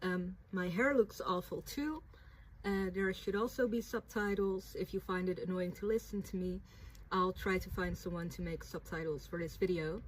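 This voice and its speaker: A woman with a Dutch accent speaks in a medium pitch. She talks at a moderate pace with ordinary pitch variation. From Netherlands. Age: 20s. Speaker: writer and vlogger. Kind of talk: reading a prepared statement to camera.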